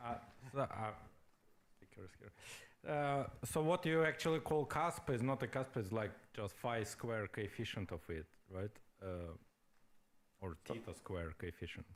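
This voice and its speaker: Pausing long and often, a man speaks fairly slowly with very wide pitch swings. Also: very clean recording, silent background. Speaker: physicist in audience asking question. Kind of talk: conference Q&A. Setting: conference hall with audience.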